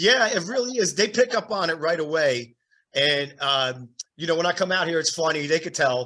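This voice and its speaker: With an East Coast accent, a man speaks at a moderate pace in a high pitch and a bright, sharp tone. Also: lively intonation. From New Jersey. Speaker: podcast host and drummer. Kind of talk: casual interview chat.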